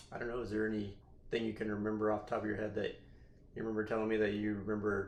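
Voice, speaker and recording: In a west Texas accent, the speaker talks at a very fast pace with monotone, flat intonation. There is audible room echo. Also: man. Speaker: podcast host. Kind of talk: casual chat.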